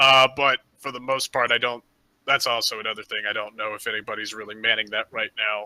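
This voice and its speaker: A man puts on a raspy character voice at a medium pitch. He keeps a moderate pace and fairly even intonation. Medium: actual play. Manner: rambling, hesitant.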